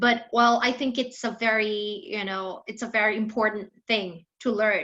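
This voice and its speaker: A woman speaks in a Thai accent at a moderate pace. Audible room echo surrounds her voice. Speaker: English teacher. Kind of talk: online class lecture. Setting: online class with shared screen.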